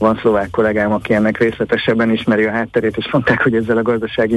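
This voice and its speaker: Here a man talks at a very fast pace. Noticeable background noise is present. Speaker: financial analyst. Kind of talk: radio interview.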